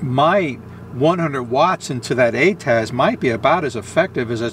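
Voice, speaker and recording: Light background noise behind a man, the sound dry with no echo. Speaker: amateur radio operator. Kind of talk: tutorial. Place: car. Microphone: phone near.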